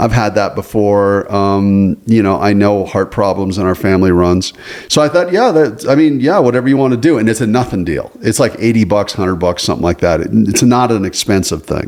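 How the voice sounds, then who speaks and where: Over noticeable background noise, a man with a fairly low voice talks with lively intonation and hardly any pauses. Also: fairly quick pace. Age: 60s. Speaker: podcast co-host. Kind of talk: casual chat. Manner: halting.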